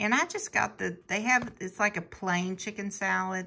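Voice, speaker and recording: Her voice fairly low with vocal fry and a bright, sharp tone, a woman speaks at a fairly slow pace with ordinary pitch variation. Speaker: food reviewer. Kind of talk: casual vlog chat. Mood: upbeat, enthusiastic. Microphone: phone near.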